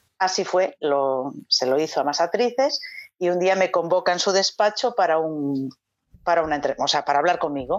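A normal speaking voice at a moderate pace, with lively intonation and very even loudness. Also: woman, fairly low pitch for a woman. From Galicia, Spain. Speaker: actress. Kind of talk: casual chat.

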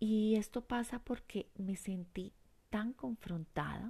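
A woman speaks in a calm, warm tone. Her intonation is fairly even. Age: 50s. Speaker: life coach podcast host. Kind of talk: reflective monologue with guided exercise.

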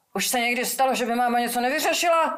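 In a plain, everyday voice, a woman speaks with ordinary pitch variation at a moderate pace. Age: 40s. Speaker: singer-songwriter. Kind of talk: casual interview.

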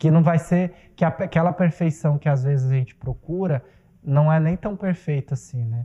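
A man's ordinary speaking voice, fairly high in pitch, at a moderate pace in a dry, close sound with no echo. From Mato Grosso, Brazil. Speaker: theatre director and playwright. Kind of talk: casual chat.

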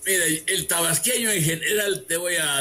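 Over music in the background, a man with a high-pitched voice speaks at a fairly slow pace. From Mexico, Tabasco (Huimanguillo). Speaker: city historian. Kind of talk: radio interview.

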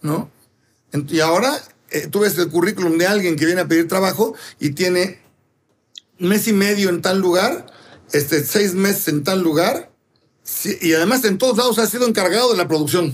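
A man with a high pitch, moderate pace, very even loudness, ordinary pitch variation and long, frequent pauses. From Mexico City. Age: 60s. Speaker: pastry chef and bakery owner. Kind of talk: interview.

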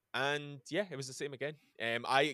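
A man speaks in a Glaswegian accent. His tone is bright and sharp, at a moderate pace. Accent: Glaswegian Scottish. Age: 30s. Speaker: metal band musician. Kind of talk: casual interview.

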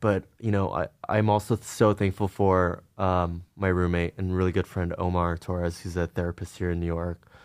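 Monotone, flat intonation at a moderate pace, in a Californian accent, comes through a very clean recording with a silent background and a dry, close sound with no echo. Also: man, very deep, low pitch for a man. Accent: General American (California). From US West Coast, Los Angeles suburbs. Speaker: artist in entertainment. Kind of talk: casual interview.

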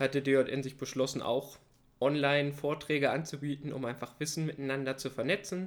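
A man's ordinary speaking voice, fairly high-pitched, at a moderate pace, on a very clean recording with a silent background. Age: 20s. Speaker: biodiversity master's student and podcast co-host. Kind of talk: casual educational chat.

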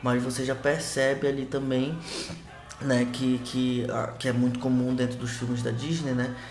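A man's medium-pitched, monotone, flat delivery at a fairly slow pace, amid noticeable background noise and audible room echo. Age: 20s. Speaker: podcast co-host, historian. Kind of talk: casual film discussion podcast. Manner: halting, many repetitions.

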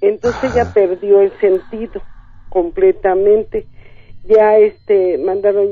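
At a very slow pace, a woman speaks in a fairly high voice. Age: 50s. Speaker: caller. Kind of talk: phone-in storytelling. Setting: phone call.

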